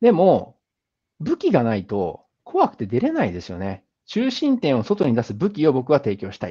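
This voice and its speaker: A man speaks at a moderate pace in a fairly high pitch, with a dark, mellow tone. His pitch swings very widely, his loudness shifts a lot, and the background is quiet. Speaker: business founder and speaker; speaker. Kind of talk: lecture. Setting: online video call with screen share. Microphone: video call.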